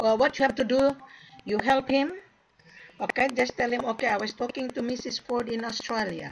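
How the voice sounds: A woman speaks at a moderate pace with a fairly high pitch, a slightly husky edge, vocal fry, and ordinary pitch variation.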